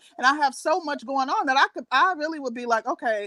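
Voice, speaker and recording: Dry and close with no echo, a woman's raised, projected voice sounds high in pitch with a bright, sharp tone. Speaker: podcast co-host. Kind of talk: casual chat. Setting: bedroom at home, live stream. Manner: loud; halting. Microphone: echo in room.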